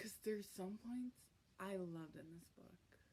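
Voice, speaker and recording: A woman speaks at a medium pitch and a moderate pace, with ordinary pitch variation. Her tone is dark and mellow and somewhat breathy. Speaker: booktuber. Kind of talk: vlog. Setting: at home at night. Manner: casual, hesitant with many ums.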